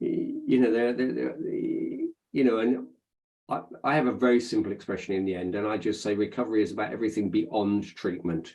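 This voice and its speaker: A man with a dark, mellow tone at medium pitch, fairly quick pace and ordinary pitch variation. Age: 50s. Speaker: social worker. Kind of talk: interview. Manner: halting, many fillers.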